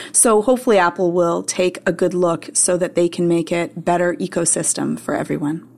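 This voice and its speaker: A woman with a normal speaking voice and a fairly low pitch talks at a fairly quick pace with hardly any pauses. Her pitch variation is ordinary. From Canada; Montreal, Canada. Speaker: tech website writer. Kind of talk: casual chat.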